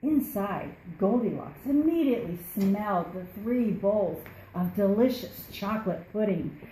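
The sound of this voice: Reading in an unforced reading voice.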